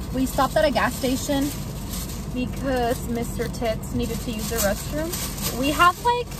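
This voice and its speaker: A woman's voice sounds dry, with no echo. Music plays in the background. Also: ordinary pitch variation, moderate pace. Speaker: vlogger. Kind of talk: casual vlog chat. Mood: playful, excited. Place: car. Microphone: phone near.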